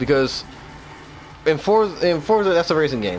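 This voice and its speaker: A man talks at a very fast pace, his pitch swinging very widely. Noticeable background noise is present. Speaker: game streamer. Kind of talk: gameplay livestream commentary. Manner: casual, rambling; stuttering.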